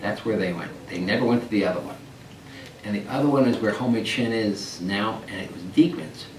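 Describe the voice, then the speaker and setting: A man talks at a fairly quick pace with an American accent, ordinary pitch variation and big swings in loudness. Audible room echo and noticeable background noise are present. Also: fairly low pitch for a man. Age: 60s. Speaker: oral history interviewee, retiree. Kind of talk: oral history interview. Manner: halting with repetitions.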